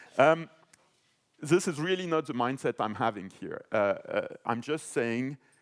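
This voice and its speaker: A man with a French accent speaks with lively intonation. The sound is dry and close with no echo, in a very clean recording with a silent background. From France. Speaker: panelist, financial policy expert. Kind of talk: panel discussion. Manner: hesitant, many fillers.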